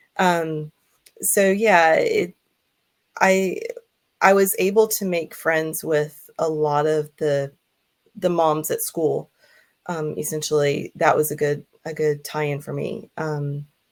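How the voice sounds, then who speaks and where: An American accent at a very slow pace, with fairly even intonation and long, frequent pauses. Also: woman, very deep, low pitch for a woman. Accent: American accent, liked by others. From US South, Georgia. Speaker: hypnotherapist. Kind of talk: interview. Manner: hesitant, many fillers.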